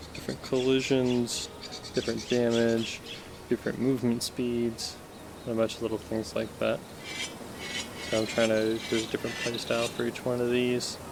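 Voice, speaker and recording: Soft-spoken and monotone, a man talks at a moderate pace in a medium pitch with flat intonation, long, frequent pauses, and noticeable background noise. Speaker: indie VR game developer. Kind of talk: casual tutorial demo. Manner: soft-spoken, quiet.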